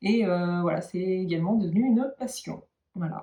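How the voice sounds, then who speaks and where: A woman's dark, mellow, somewhat breathy voice sits at medium pitch with ordinary pitch variation. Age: 40s. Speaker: knitting and sewing YouTuber. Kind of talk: casual vlog talk to viewers. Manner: hesitant, many filler sounds.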